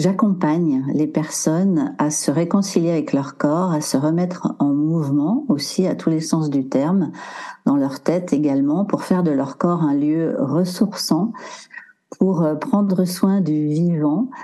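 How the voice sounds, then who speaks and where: Amid audible room echo, a woman with a fairly low pitch speaks very slowly at a very even loudness. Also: lively intonation. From French Alps. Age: 60s. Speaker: body movement coach, former dancer. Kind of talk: casual interview.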